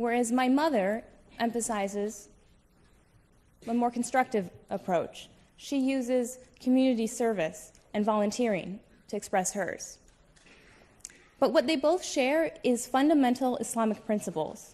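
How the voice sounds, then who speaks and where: A woman's high-pitched, dark, mellow voice with a Midwestern accent, fairly slow pace, ordinary pitch variation and long, frequent pauses. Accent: American Midwest. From US Midwest, Toledo, Ohio. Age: young. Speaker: debater. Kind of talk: formal debate opening statement. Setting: stage with audience.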